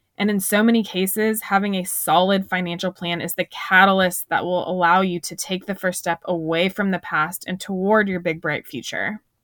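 Upbeat and enthusiastic in tone, a woman speaks at a medium pitch and moderate pace with hardly any pauses. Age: 30s. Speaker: personal finance podcast host. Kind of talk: solo podcast monologue, scripted teaching. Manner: upbeat, enthusiastic.

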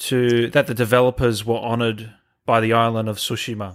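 A man speaks at a medium pitch in an Australian accent. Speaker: gaming channel host. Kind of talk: casual interview. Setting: video call. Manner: casual.

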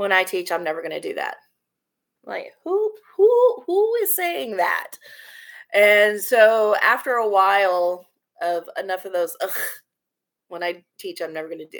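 Speaking with a Texan accent at a moderate pace, a woman leaves long, frequent pauses and her loudness swings widely. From Texas, Corpus Christi. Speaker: theater teacher. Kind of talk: casual chat.

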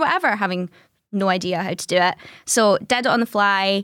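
A woman speaks in a west of Scotland accent at a medium pitch and moderate pace. The recording is very clean with a silent background, and the sound is dry and close with no echo. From Scotland, Greenock (west coast). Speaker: artist and content creator. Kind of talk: interview about grief and depression.

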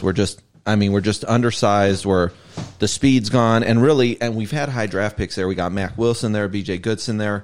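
A man with an American accent has an ordinary speaking voice and a fairly low pitch. He talks at a moderate pace with fairly even intonation. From Ohio, Cleveland area. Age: 40s. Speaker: sports fan guest. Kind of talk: casual chat.

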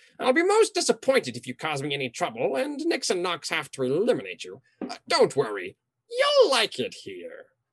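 A man does a put-on character voice. He speaks at a moderate pace. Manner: furious when defied; smug, mocking, theatrical.

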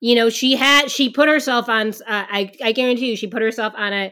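A woman speaks at a fairly quick pace in a high pitch with a bright, sharp tone. Her intonation is fairly even, on a very clean recording with a silent background. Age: 40s. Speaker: pre- and postnatal exercise specialist. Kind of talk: casual interview.

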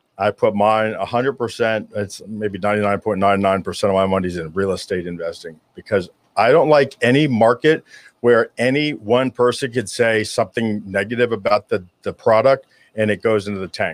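A man at a medium pitch with an unremarkable speaking voice, ordinary pitch variation, and a moderate pace, in a dry, close recording with no echo. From South Florida. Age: 50s. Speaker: author and public speaker. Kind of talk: interview.

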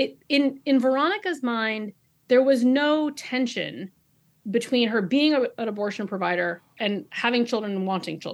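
Her voice is a plain, everyday voice, as a woman with a fairly high pitch and lively intonation speaks at a moderate pace against a quiet background. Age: 40s. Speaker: novelist. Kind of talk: interview. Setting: video call.

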